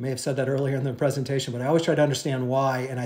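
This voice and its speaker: A man speaks at a very fast pace in a medium pitch, somewhat breathy. His intonation stays monotone and flat, with audible room echo. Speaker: real estate agent. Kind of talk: market update presentation. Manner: hesitant, many fillers.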